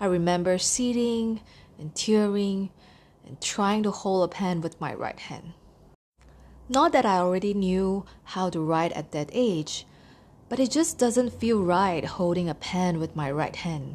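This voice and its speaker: A woman with a plain, everyday voice at medium pitch, a fairly slow pace, ordinary pitch variation and a quiet background. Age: 30s. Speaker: podcaster. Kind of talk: personal podcast monologue.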